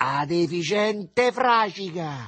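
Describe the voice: A man puts on a character voice with a high pitch and a fairly bright tone. He speaks slowly, with lively intonation.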